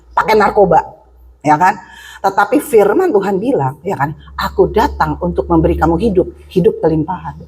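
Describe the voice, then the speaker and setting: A woman speaks in an animated tone at a fairly quick pace against noticeable background noise. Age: 60s. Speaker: preacher. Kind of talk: sermon.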